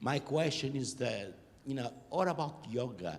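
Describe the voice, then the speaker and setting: A man with a Portuguese accent. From Portugal. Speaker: audience member. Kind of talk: audience question.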